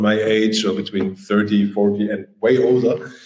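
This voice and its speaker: The speech has ordinary pitch variation and a moderate pace. Noticeable background noise runs underneath. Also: man. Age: 40s. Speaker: DJ and artist manager. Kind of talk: podcast interview. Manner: hesitant, many fillers.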